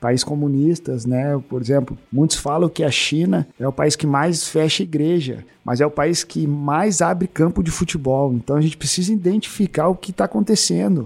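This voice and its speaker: A man with an unremarkable speaking voice talks at a moderate pace and fairly high pitch, with lively intonation and hardly any pauses. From Porto Alegre, southern Brazil. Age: 40s. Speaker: former footballer, sports missionary. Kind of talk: interview testimony. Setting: studio.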